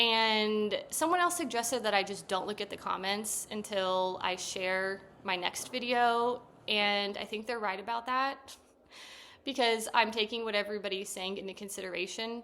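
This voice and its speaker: Soft-spoken, a woman talks in a fairly high voice with a bright, sharp tone. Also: moderate pace. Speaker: therapist and vlogger. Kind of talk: casual talking-to-camera vlog. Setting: sitting on couch at home. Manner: monotone.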